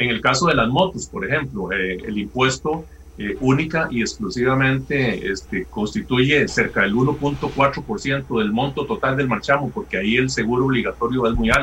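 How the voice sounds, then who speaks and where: Speaking at a moderate pace over noticeable background noise, a man with a medium pitch uses lively intonation. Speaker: legislator. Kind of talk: political debate.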